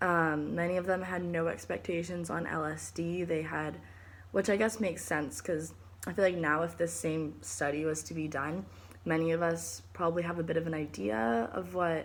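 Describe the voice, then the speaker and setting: A woman's fairly low voice with lively intonation, a moderate pace and audible room echo. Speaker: student presenting a book report. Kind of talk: recorded class presentation. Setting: recording at home. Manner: halting, many fillers.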